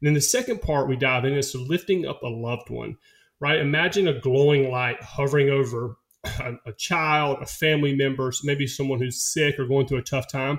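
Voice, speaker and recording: Fairly even intonation and a somewhat breathy voice, with a Southern US accent. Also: man, fairly high pitch for a man, moderate pace. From rural US. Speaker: former football player and meditation teacher. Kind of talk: casual interview conversation.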